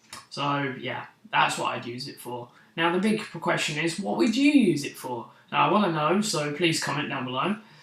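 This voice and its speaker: A man's fairly high voice with lively intonation and big swings in loudness, at a moderate pace over noticeable background noise. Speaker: vlogger. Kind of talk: casual vlog monologue. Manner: unscripted, slightly stuttering.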